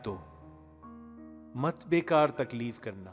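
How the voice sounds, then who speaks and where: Music plays in the background as a man speaks. His pitch is medium and his intonation lively. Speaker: poetry reciter. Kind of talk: poetry reading. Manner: elegant, refined Urdu diction.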